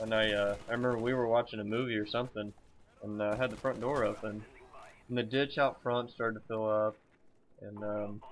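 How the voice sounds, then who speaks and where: Mumbling in a Southern US accent, a man at medium pitch talks at a fairly quick pace in a monotone, flat way, with long, frequent pauses. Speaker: gaming commentator. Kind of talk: gameplay commentary. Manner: halting.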